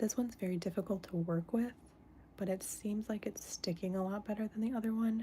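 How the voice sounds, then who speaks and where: A woman with an American accent speaks at a fairly quick pace in a medium pitch. Her dark, mellow tone is somewhat breathy, and her intonation is fairly even. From United States. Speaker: stained glass artist and live streamer. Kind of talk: casual livestream chat while crafting. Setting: indoors, live stream. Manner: speaking softer than usual.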